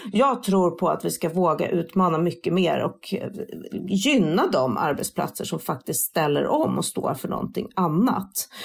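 There is vocal fry in this woman's fairly slow speech. The recording is very clean, with a silent background. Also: fairly low pitch for a woman. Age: 40s. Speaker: sustainability influencer. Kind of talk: interview.

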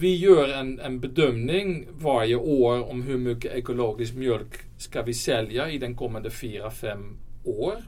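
Here a man talks at a fairly slow pace with a Dutch accent and a medium pitch. Audible room echo surrounds his voice. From Netherlands. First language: Dutch (speaking Swedish). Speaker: company CEO. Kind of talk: interview. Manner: halting.

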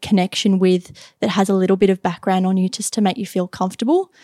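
Recorded very cleanly against a silent background, a woman with an Australian accent speaks at medium pitch in a dark, mellow tone, the sound dry and close with no echo. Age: 20s. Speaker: IT and cybersecurity worker. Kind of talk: casual interview.

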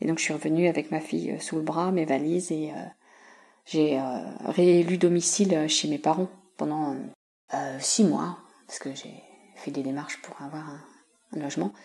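Her pitch is very deep and low, with vocal fry and fairly even intonation. The woman speaks at a fairly slow pace with long, frequent pauses. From Paris region, France (Yvelines). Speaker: museum collections officer. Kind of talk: interview. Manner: hesitant, many fillers.

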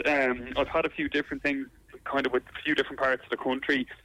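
With a Dublin accent, a man speaks at a very fast pace in a bright, sharp tone and a fairly high pitch. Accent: Irish (Dublin). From Ireland. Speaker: comedian. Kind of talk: interview. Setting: phone call.

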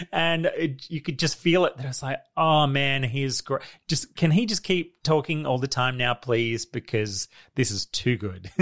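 Recorded with a dry, close sound with no echo and a very clean recording, silent background, a man with an Australian accent speaks at a moderate pace, his fairly high pitch carrying lively intonation. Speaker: podcast host. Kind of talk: casual chat.

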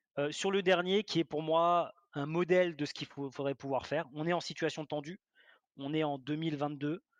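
A man with a plain, everyday voice speaks at a moderate pace, his pitch fairly high and his intonation fairly even. The sound is dry and close with no echo, and the background is quiet. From Alsace, France. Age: 30s. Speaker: property investor. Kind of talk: interview.

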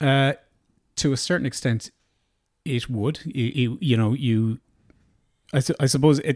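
Speaking in a Galway accent with ordinary pitch variation, the voice leaves long, frequent pauses, and the sound is dry and close with no echo. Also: man, medium pitch for a man, fairly slow pace. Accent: Irish, Galway. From west of Ireland, Tuam, County Galway. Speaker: business owner. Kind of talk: casual interview.

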